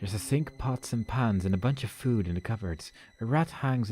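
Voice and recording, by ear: A natural voice reading aloud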